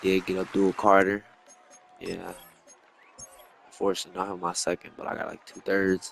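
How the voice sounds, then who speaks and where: Over noticeable background noise, a man mumbles at a moderate pace in a very deep, low pitch, his intonation monotone and flat, his loudness swinging widely, with long, frequent pauses. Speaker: gaming YouTuber. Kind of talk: gameplay commentary. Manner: mumbling; casual.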